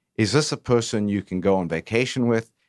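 Recorded very cleanly against a silent background with a dry, close sound and no echo, a man in a plain, everyday voice speaks at a moderate pace with ordinary pitch variation. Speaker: business owner. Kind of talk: interview. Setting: radio studio.

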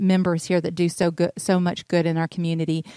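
In a Southern US accent, a woman speaks at a fairly quick pace and medium pitch, the sound dry and close with no echo. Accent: Southern US (Georgia). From US South, North Georgia. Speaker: real estate agent and radio show host. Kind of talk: casual chat.

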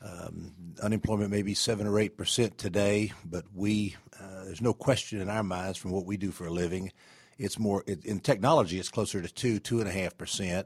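Over a silent background in a very clean recording, a man with a Southern US accent talks at a fairly quick pace, his fairly low pitch held in fairly even intonation. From Atlanta, Georgia (US South). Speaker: radio host, IT staffing executive. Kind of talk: radio interview. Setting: radio studio.

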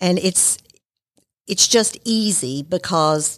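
A woman is speaking. She has a Southern US accent. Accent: Southern US (Georgia). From Marietta, Georgia, US South. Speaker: accountant and small business owner. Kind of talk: casual interview. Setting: studio.

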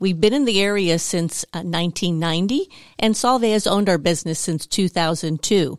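Speaking at a fairly quick pace, a woman with an unremarkable speaking voice uses medium pitch and ordinary pitch variation, heard dry and close with no echo in a very clean recording with a silent background. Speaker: site manager at a materials company. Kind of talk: casual radio interview. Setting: studio.

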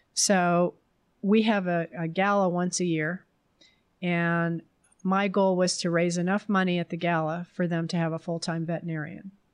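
The voice carries an American accent and monotone, flat intonation. It moves at a moderate pace against a quiet background. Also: woman, fairly low pitch for a woman. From New Jersey. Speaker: artist. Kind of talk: interview.

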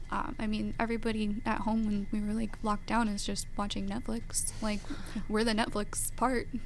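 A woman with an American accent at a fairly high pitch, moderate pace and monotone, flat intonation, with audible room echo. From Georgia, US. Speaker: professional ballet dancer. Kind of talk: radio interview. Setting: radio studio.

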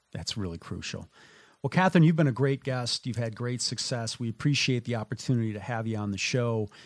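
With an American accent, a man talks at a fairly quick pace at a medium pitch in a plain, everyday voice. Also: ordinary pitch variation. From Minnesota. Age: 50s. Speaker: radio host. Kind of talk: radio interview. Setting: radio studio.

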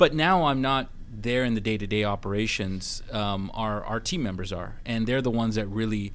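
A man with a Canadian accent, a plain, everyday voice, fairly low pitch and a moderate pace. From Vancouver, Canada. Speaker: hotel company CEO. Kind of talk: radio interview. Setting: studio.

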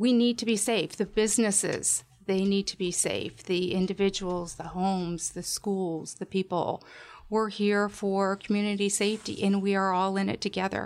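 On a very clean recording with a silent background, a woman speaks in a monotone with flat intonation. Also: medium pitch for a woman, moderate pace. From Washington State. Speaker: crime tip program director. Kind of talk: radio interview.

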